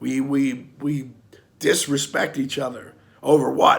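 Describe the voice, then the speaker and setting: A man puts on a character voice, raspy and hoarse, pitched fairly high. He talks at a moderate pace. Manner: angry, impassioned.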